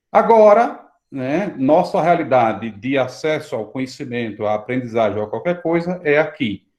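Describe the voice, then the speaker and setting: Very wide pitch swings in the fairly high voice of a man. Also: moderate pace. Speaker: priest and online course teacher. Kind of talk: live online lecture. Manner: soft-spoken.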